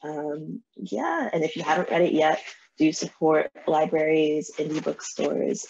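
Over light background noise, a woman with vocal fry speaks at a fairly slow pace and a very deep, low pitch. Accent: American. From New Jersey and New York. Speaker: novelist; guest. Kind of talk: interview. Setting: video call. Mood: warm, smiling. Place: home room. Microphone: video call.

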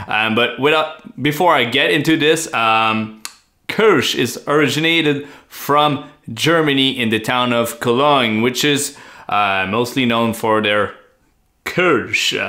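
A man with a French accent speaks at a very slow pace in a bright, sharp tone, with ordinary pitch variation and very even loudness against a quiet background. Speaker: beer channel co-host. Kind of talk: casual chat. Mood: relaxed, enthusiastic. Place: home room.

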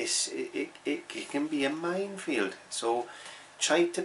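The voice belongs to a man. Light noise sits in the background. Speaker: painting teacher. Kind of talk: tutorial. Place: home room. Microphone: phone near.

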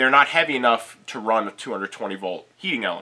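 The speaker is a man. He varies his pitch in an ordinary way and keeps a moderate pace. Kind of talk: tutorial.

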